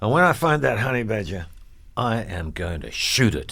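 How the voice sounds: A man's put-on character voice, fairly low in pitch with big pitch swings, a bright, sharp tone and vocal fry, at a moderate pace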